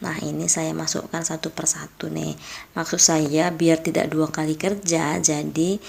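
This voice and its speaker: Quietly and at a fairly slow pace, a woman speaks in a very deep, low voice. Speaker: home cooking youtuber. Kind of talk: cooking tutorial voiceover. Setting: late-night voiceover dubbing at home. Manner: quiet, volume kept low.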